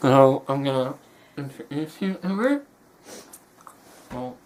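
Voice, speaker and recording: Background noise is noticeable in this recording. The speaker keeps a moderate pace, with ordinary pitch variation. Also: man. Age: young. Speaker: young man with a rare syndrome answering questions. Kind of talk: casual Q&A interview video. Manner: halting, many fillers and restarts.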